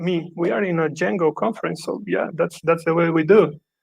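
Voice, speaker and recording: This man speaks at a high pitch with a Brazilian accent. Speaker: software developer, conference speaker. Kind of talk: conference talk.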